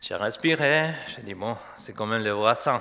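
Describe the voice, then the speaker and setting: Speaking at a fairly slow pace with an Argentine accent, a man lets his pitch swing very widely. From Argentina. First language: Spanish (speaking French). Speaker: pastor. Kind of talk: sermon. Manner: halting.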